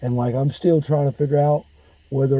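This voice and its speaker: A man with a Mississippi accent speaks at a fairly high pitch in a dark, mellow tone. His voice is somewhat breathy, and his intonation stays fairly even. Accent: US Southern (Mississippi). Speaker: military veteran. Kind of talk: personal monologue.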